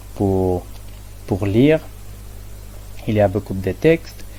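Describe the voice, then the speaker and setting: Very deep and low, this man's voice has a dark, mellow tone and is somewhat breathy, in a non-native accent. He speaks at a fairly slow pace. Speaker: student presenting research methods. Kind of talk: academic presentation. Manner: halting, many hesitations and repetitions.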